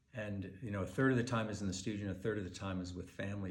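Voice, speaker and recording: Male speech, somewhat breathy, over audible room echo. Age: 60s. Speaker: wildlife painter. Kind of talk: personal message to collectors. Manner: casual, conversational with fillers.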